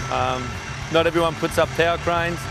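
A man's high voice at a moderate pace, dry with no echo, over clear music in the background. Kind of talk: interview answer. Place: open country. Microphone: lapel.

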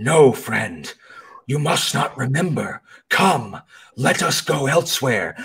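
A raspy, put-on character voice from a man, fairly high in pitch and fairly slow. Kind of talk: archaic, formal. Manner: calm, reassuring.

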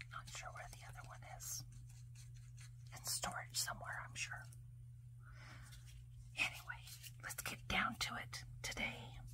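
A woman speaks at a fairly slow pace in a very deep, low pitch with vocal fry and monotone, flat intonation. Long, frequent pauses break up her speech over noticeable background noise. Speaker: ASMR content creator. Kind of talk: ASMR cleaning video narration. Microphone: phone near.

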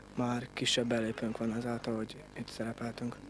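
A man speaks at a moderate pace in a medium pitch. There is light background noise and a dry sound with no echo. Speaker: rugby player-coach. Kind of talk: interview. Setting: outdoors. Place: open country. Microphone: handheld.

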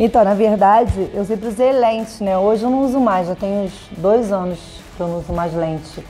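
Faint music plays in the background while the speaker talks at a moderate pace with ordinary pitch variation. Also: woman. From Rio de Janeiro. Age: 30s. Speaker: funk singer. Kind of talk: casual interview answer. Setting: at home. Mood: playful, amused. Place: home room.

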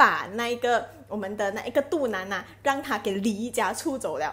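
This is a woman speaking. Her pitch sits fairly high. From Malaysia. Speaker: live streamer selling health products; product promoter vlogger. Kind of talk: live stream chat with product promotion. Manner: chatty, many filler particles. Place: home room. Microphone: earbuds.

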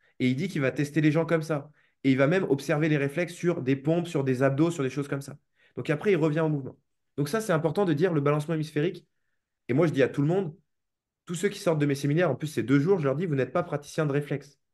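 Over a quiet background, a man talks at a very fast pace. His intonation is fairly even. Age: 20s. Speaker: movement coach and seminar teacher; movement coach, seminar teacher. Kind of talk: interview. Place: home room. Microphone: video call.

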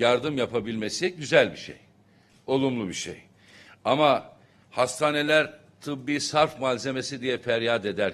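A man's fairly slow speech with ordinary pitch variation. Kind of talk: press conference statement. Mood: critical, formal. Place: hall.

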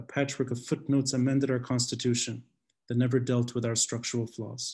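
With an American accent, a man of medium pitch talks at a fairly quick pace in a somewhat breathy voice. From Lebanon. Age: 30s. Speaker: podcast host and city tour guide. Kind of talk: lecture. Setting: video call. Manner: passionate; animated.

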